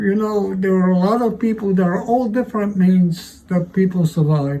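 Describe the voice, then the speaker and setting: Amid noticeable background noise, a man with a high pitch speaks at a moderate pace with very even loudness and ordinary pitch variation. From Poland, Warsaw. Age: 90s. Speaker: Holocaust survivor. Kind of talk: interview testimony. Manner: halting.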